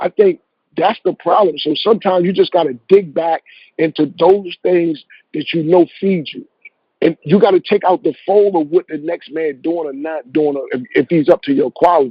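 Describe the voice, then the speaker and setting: Moderately paced speech in an American accent with ordinary pitch variation. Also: man, high pitch for a man. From Eastern Shore of Maryland. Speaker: music executive. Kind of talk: interview answer, advice. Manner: casual, conversational.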